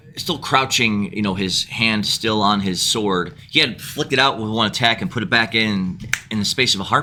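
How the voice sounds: The reader uses a natural reading voice and keeps the intonation fairly even.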